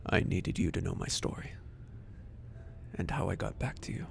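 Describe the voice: A man puts on a character voice at a moderate pace, pitched low, with vocal fry and lively intonation.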